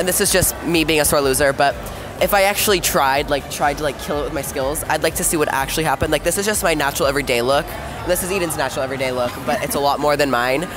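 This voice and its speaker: Very fast speech over clear background music. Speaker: vlog host. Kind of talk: casual vlog chat. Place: street. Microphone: camera far.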